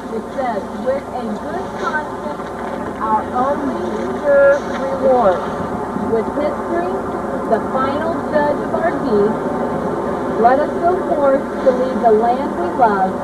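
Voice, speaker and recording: Speech comes at a very slow pace with long, frequent pauses, set against loud background noise. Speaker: teacher or trip leader. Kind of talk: reading inscription aloud to students. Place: rain. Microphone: old recording.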